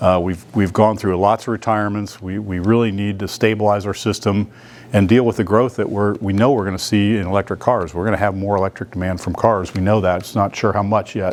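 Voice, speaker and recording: At a fairly quick pace, a man with a fairly low pitch speaks in a flat monotone. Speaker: utility executive. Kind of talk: business presentation. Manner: fast.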